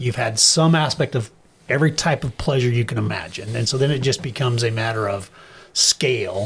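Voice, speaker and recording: Somewhat breathy, a man with an American accent speaks with lively intonation. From US Midwest, Wichita, Kansas. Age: 60s. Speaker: chiropractor and health practitioner. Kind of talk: casual chat.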